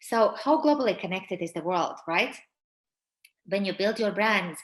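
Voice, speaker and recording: A woman of medium pitch speaks with a Latvian accent and lively intonation. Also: moderate pace. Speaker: personal branding coach. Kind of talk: webinar presentation. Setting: webinar. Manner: hesitant, many fillers.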